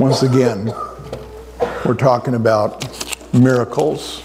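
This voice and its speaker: Speaking very slowly, a man at medium pitch keeps a fairly even intonation over noticeable background noise. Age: 70s. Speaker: pastor. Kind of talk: sermon. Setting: church.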